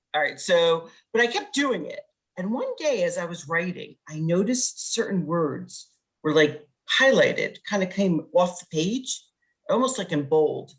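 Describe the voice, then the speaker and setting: A woman's somewhat breathy, medium-pitched voice with lively intonation at a moderate pace. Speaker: poet and corporate coach. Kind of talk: interview. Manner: direct.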